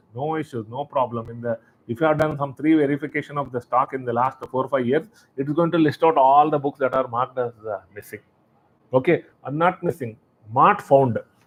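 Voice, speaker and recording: Fairly quick in pace, a man with a plain, everyday voice speaks at a fairly high pitch with ordinary pitch variation. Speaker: software demonstrator. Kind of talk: tutorial. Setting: live webinar.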